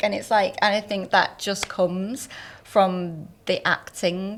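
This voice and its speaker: Over noticeable background noise, a woman with a Northern English accent talks at a moderate pace. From Northern England. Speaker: entertainment journalist and former actor. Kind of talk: podcast interview answer.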